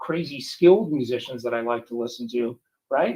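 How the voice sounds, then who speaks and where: The man's voice is somewhat breathy, and he keeps a moderate pace. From US West Coast, Oxnard, California. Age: 60s. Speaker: musician and visual effects artist, author. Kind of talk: interview. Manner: animated.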